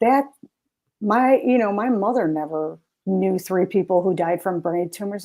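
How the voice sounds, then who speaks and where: Speaking fairly slowly at a medium pitch, a woman with a plain, everyday voice shows ordinary pitch variation. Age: 50s. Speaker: health coach. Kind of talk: casual interview chat. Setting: live stream.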